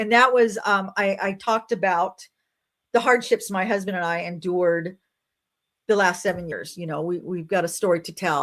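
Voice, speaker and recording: Recorded very cleanly over a silent background, a woman with an American accent talks at a fairly quick pace, using a medium pitch and ordinary pitch variation. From Nebraska, US Midwest. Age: 60s. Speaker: YouTuber talking about life after 60. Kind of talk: live stream chat reading viewer comments. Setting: livestream. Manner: loud; casual, chatty.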